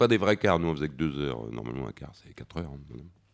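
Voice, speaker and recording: This is a man speaking. His voice carries vocal fry. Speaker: comics artist. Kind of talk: festival panel talk.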